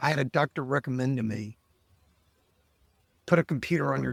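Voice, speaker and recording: This man's voice carries noticeable vocal fry. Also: dry, close sound with no echo. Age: 60s. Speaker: lawyer and life coach. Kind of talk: podcast interview.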